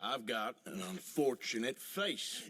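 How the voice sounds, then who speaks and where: In a put-on character voice, a man speaks raspily at a medium pitch and a fairly slow pace, the sound dry and close with no echo. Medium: video game. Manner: gruff, drawling.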